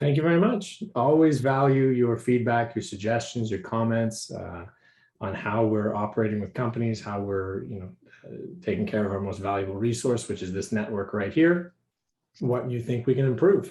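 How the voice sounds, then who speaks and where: A man speaks with medium pitch, a dark, mellow tone and a somewhat breathy voice. His pitch variation is ordinary, and the background is quiet. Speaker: program director at a startup accelerator. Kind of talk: online meeting presentation. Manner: fast.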